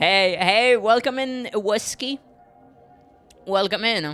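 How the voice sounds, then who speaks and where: A man talks at a fairly slow pace. Music plays in the background. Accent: French. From France. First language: French. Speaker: vtuber streamer. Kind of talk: casual chat; reading aloud. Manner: halting.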